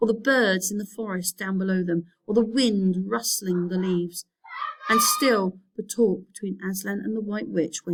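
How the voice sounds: Ordinary pitch variation in a natural reading voice, with a quiet background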